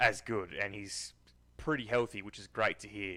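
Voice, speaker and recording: A man with a strong Australian accent, fairly low in pitch, bright and sharp in tone, at a moderate pace. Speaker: football commentary youtuber. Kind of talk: casual vlog commentary. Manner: casual with many fillers.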